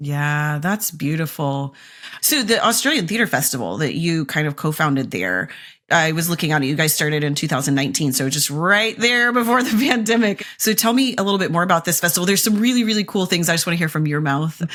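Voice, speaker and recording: Enthusiastic and very fast, a woman speaks at a fairly low pitch with lively intonation on a very clean recording with a silent background. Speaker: podcast host. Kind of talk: podcast interview. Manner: enthusiastic, gushing.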